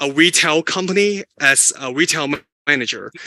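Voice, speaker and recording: A man talks at a moderate pace in a bright, sharp tone, his pitch fairly high and his pitch variation ordinary. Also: dry, close sound with no echo. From Hong Kong. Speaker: academic researcher. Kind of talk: lecture. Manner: halting.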